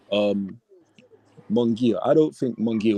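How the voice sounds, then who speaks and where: Here is a man with an English accent. His tone is dark and mellow, and his intonation is lively. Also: dry, close sound with no echo. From England. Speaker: boxing debate panelist. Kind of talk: heated debate.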